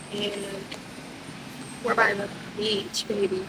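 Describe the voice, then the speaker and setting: Noticeable background noise behind a woman with a fairly high pitch. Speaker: vlogger. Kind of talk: casual vlog. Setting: restaurant then beach, handheld camera.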